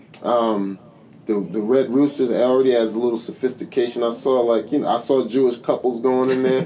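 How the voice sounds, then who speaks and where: Fairly quick speech in an American accent, with very even loudness and fairly even intonation, over noticeable background noise. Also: man, medium pitch for a man. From New Jersey. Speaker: stand-up comedian. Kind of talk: casual podcast interview. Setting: studio.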